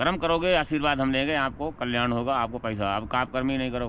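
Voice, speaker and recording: A man speaks in a normal speaking voice at a medium pitch. His pitch varies in an ordinary way. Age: 60s. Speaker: wandering sadhu. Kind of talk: casual interview chat.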